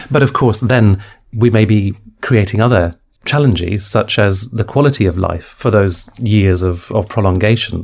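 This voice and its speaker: A man speaks at a fairly low pitch and moderate pace, somewhat breathy. His loudness stays very even, and his pitch varies in an ordinary way. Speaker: podcast interviewer. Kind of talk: interview.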